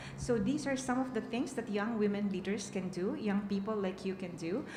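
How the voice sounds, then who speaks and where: A woman at a fairly quick pace with ordinary pitch variation, amid noticeable background noise and audible room echo. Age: 60s. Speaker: peace and women's rights advocate. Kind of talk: conference panel answer. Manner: halting, many fillers.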